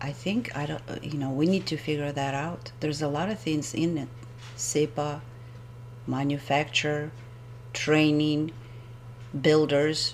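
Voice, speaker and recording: A woman with a non-native accent talks at a fairly slow pace. Her pitch is very deep and low, with vocal fry. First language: not English. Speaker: homeowner presenting a video blog. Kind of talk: screen-recorded presentation. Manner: halting, with hesitations.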